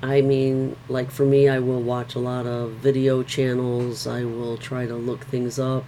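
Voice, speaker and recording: The voice belongs to a woman with a very deep, low pitch. Background noise is noticeable. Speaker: Bible reading vlogger. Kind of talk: reading aloud with discussion. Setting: home bedroom. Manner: slow; halting.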